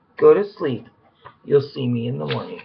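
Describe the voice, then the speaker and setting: A raspy, put-on character voice sits in a low-to-middle pitch. It moves at a moderate pace. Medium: read story.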